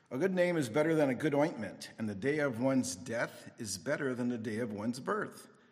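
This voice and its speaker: A man speaks at a moderate pace with very wide pitch swings. Noticeable background noise runs underneath. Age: 60s. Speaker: Bible teacher. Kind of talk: sermon.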